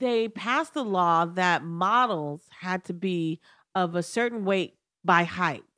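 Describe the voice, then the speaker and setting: A woman speaks at a very slow pace with a medium pitch and ordinary pitch variation. Her tone is bright and sharp, in a very clean recording with a silent background. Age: 50s. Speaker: comedian. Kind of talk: casual chat.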